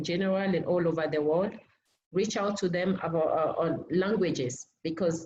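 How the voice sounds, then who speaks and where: Audible room echo surrounds a woman of medium pitch who speaks with a French accent at a moderate pace. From Benin. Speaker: language academy team member. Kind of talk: online seminar introduction. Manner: halting, many fillers.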